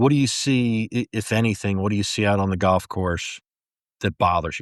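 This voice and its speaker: A man with an unremarkable speaking voice talks at a fairly quick pace, his fairly low pitch showing ordinary variation, with a dry, close sound free of echo over a quiet background. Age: 50s. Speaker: podcast host. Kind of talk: podcast interview.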